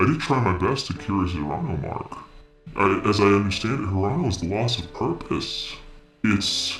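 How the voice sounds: Clear music plays in the background as a man speaks in a put-on character voice. His pitch is fairly low, with lively intonation at a moderate pace.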